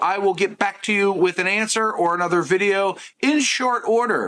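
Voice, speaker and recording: Using a raised, projected voice, a man speaks in a high pitch. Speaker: tech youtuber. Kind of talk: product review vlog. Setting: outdoors and in a store. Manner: casual, chatty.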